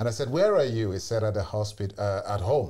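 A man speaks at a moderate pace with a fairly low pitch. His voice is somewhat breathy, with a dark, mellow tone. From Sierra Leone. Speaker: community elder; podcast guest. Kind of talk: testimony. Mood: somber, reflective storytelling. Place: studio. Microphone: lapel.

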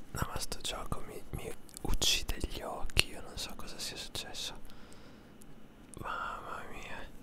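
A man whispers at a very slow pace. Long, frequent pauses break up his words. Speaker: ASMR gaming streamer. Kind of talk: gameplay commentary; casual gaming commentary. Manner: whispered. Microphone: studio mic.

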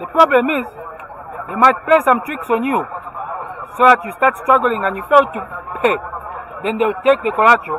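A man's extremely high voice at a fairly quick pace, ordinary pitch variation, and noticeable background noise. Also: dry sound with no echo. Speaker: vlogger interviewing a local. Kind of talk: casual vlog chat. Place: street. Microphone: phone near.

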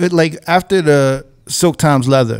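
A man with a New York accent, fairly even intonation, and a quiet background. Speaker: DJ and podcast host; DJ, podcast host. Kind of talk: casual interview. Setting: studio. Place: studio. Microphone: studio mic.

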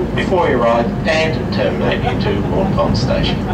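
A man speaking at a fairly slow pace over loud background noise. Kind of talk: public announcement. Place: train.

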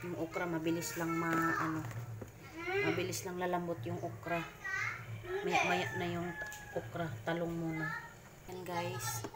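The speech moves at a fairly slow pace with long, frequent pauses. Crowd noise can be heard in the background. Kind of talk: casual cooking vlog chat. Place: kitchen. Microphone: phone near.

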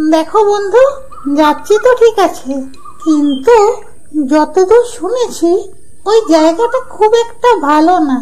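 A cartoonish character voice, extremely high in pitch and fairly slow, over noticeable background noise.

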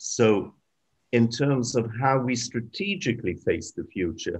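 With a British accent, a man talks at a moderate pace with ordinary pitch variation. The background is quiet. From Britain, Ukrainian parents. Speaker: journalist and historian; journalist. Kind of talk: webinar talk. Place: home room. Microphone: video call.

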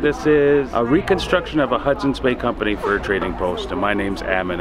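A man speaking at a very fast pace, with clear music in the background. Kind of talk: interview answer. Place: street.

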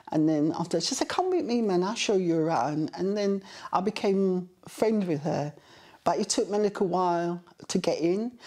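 Over a quiet background, a woman talks at a moderate pace with a dark, mellow tone and lively intonation. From Kingston, Jamaica. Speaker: interviewee recalling childhood. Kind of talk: oral history interview answer. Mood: warm, reflective storytelling. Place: home room.

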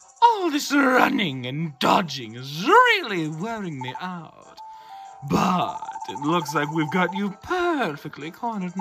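A man puts on a character voice at a high pitch. He talks at a fairly slow pace with faint music in the background.

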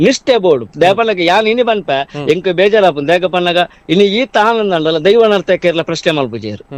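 With lively intonation and very even loudness, a man talks in a high pitch. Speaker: commentator on spirit worship tradition. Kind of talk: heated interview.

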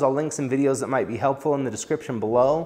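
A man's fairly even intonation over a quiet background. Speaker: welding instructor. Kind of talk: tutorial. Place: workshop. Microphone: lapel.

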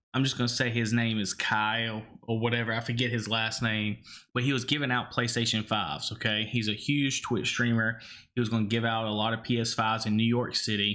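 A man with an Alabama accent talks at a fairly quick pace, in a bright, sharp tone. His intonation is monotone and flat, and his loudness stays very even. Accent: Alabama Southern. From Alabama, Cajun family from New Orleans. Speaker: gaming podcast co-host. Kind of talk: casual chat. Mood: opinionated, mildly critical. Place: home room. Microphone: studio mic.

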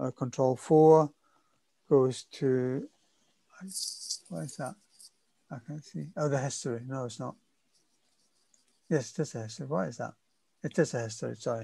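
A man speaks at a moderate pace with long, frequent pauses, his voice somewhat breathy and his loudness swinging widely, in a dry sound with no echo. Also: ordinary pitch variation. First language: Spanish. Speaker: workshop instructor. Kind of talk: tutorial. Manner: halting, many repeated words and fillers.

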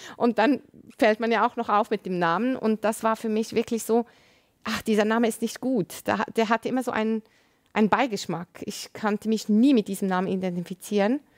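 Fairly high in pitch, a woman speaks at a fairly quick pace with fairly even intonation. The background is quiet. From Lebanon. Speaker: nurse and author; interview guest. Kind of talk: testimony. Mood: reflective, personal testimony. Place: studio. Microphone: lapel.

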